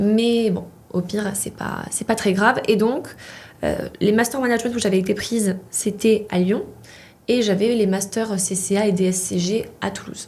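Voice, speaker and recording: A woman with a Polish accent speaks fairly slowly in a somewhat breathy, medium-pitched voice with fairly even intonation. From Poland. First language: Polish (speaking French). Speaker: chartered accountant, student association president. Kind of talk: interview.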